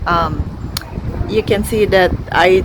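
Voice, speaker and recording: There is noticeable background noise in this clip. A woman speaks through it very slowly. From Philippines. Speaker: beauty vlogger. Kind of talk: casual talk to camera.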